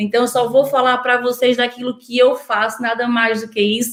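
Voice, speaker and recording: This woman talks at a moderate speed with a high-pitched voice. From northeast Brazil. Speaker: nutritionist. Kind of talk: online workshop talk. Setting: online video workshop.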